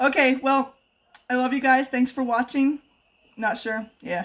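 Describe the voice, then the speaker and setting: Her voice is a woman's, pitched high. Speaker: home cook and kitchenware consultant. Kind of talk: live cooking stream. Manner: fast.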